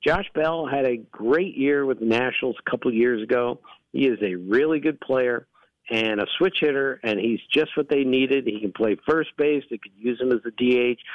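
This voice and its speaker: A plain, everyday voice from a man, medium in pitch, with ordinary pitch variation and a moderate pace. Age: 60s. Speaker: baseball analyst. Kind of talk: radio interview.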